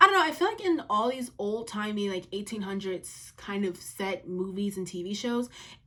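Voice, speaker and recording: A woman speaks with hardly any pauses and ordinary pitch variation. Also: medium pitch for a woman. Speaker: youtuber. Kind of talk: casual chat. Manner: fast.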